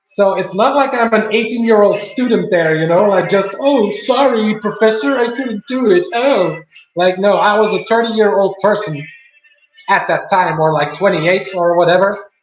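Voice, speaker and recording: With music in the background and audible room echo, a man with a high pitch speaks at a moderate pace and ordinary pitch variation. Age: 30s. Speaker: streamer. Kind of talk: casual chat. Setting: home live stream while cooking. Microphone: laptop stream, poor quality.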